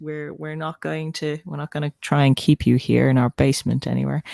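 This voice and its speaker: Recorded very cleanly against a silent background, a woman with an Irish accent speaks in a dry, close sound with no echo. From Ireland, Dublin. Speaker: writer and writing-sprint streamer. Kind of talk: casual chat. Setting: livestream.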